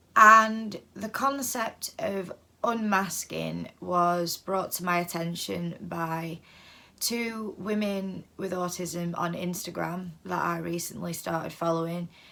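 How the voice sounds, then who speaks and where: Speech with a British accent comes at a very slow pace in a bright, sharp tone. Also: woman, fairly low pitch for a woman, fairly even intonation. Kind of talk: casual vlog monologue. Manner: hesitant, many fillers.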